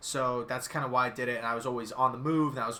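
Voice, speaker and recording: A man with a monotone, flat intonation. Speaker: sports YouTuber, channel owner. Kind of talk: live stream sports chat. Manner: occasional stutter.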